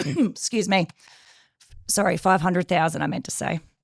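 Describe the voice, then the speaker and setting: The sound is dry and close, with no echo. A woman speaks in an Australian accent. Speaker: project coordination professional. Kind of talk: podcast interview. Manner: halting, many fillers.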